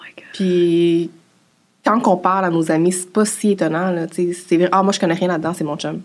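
Speaking in a Quebec accent, a woman talks at a moderate pace with a fairly low pitch and monotone, flat intonation, taking long, frequent pauses while her loudness swings widely. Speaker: personal finance influencer. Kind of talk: interview.

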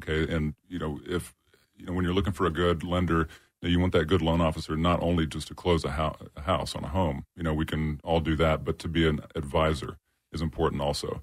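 A man with a very deep, low pitch speaks very fast in a monotone, flat intonation. The recording is very clean, with a silent background. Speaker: loan officer and sports fan. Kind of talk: casual sports and finance talk.

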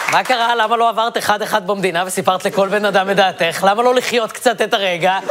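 Speaking at a fairly quick pace, a man with a high pitch keeps his loudness very even and his intonation fairly even over noticeable background noise. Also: hardly any pauses. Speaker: satirical comedy host. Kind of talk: satirical monologue.

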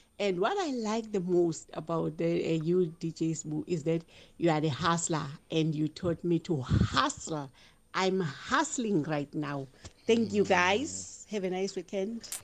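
Speaking fairly slowly with lively intonation, a woman with a South African accent talks at a fairly low pitch. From South Africa, Durban. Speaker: caller. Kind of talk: call-in comment.

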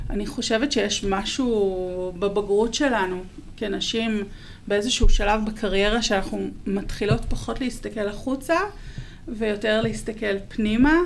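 The room echo is audible. A woman speaks at a fairly high pitch and a fairly slow pace. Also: ordinary pitch variation. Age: 40s. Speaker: marketing content manager. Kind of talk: interview.

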